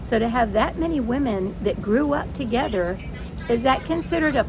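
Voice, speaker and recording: Speaking at a moderate pace with an American accent, a woman makes very wide pitch swings amid audible room echo and noticeable background noise. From US South. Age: 60s. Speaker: vlogger with rheumatoid arthritis. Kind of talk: casual vlog monologue. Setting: outdoors by the bay. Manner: conversational, with fillers.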